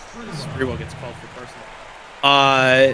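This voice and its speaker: A man with an American accent and a fairly high pitch speaks at a fairly slow pace amid noticeable background noise. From rural Louisiana. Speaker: color commentator. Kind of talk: live commentary. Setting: broadcast booth. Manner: shortens words.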